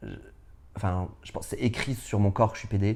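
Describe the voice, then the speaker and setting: The pace here is fairly quick. It is a man talking. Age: 30s. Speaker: drag performer. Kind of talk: interview. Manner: loud; hesitant, many fillers.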